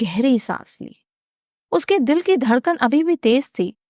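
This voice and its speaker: A woman with very wide pitch swings, in a dry, close sound with no echo on a very clean recording with a silent background. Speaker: voice artist. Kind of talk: mystery story narration.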